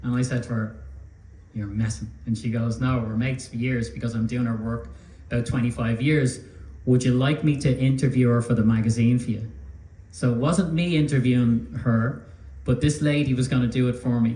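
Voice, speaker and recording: Speaking fairly quickly, a man has an Irish accent and a medium pitch with ordinary variation. His tone is dark and mellow, and somewhat breathy. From Ireland. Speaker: magazine publisher. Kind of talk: public talk.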